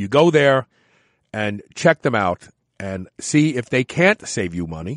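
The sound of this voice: A man with a fairly low voice speaks at a fairly slow pace, his pitch swinging widely. The recording is very clean and dry, close-miked with no echo and a silent background.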